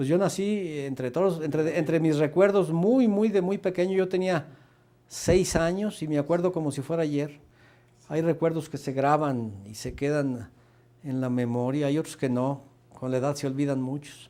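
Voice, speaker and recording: A man talks in a dark, mellow tone with a fairly high pitch. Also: ordinary pitch variation, moderate pace. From Aguascalientes, Mexico. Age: 70s. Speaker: retired university director. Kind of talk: interview. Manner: halting.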